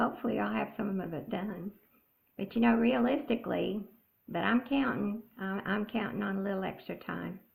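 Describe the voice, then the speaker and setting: A woman speaks with an American accent at a medium pitch. Vocal fry runs through her voice. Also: ordinary pitch variation, moderate pace. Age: 70s. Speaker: cross-stitch vlogger. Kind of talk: casual chat. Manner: halting.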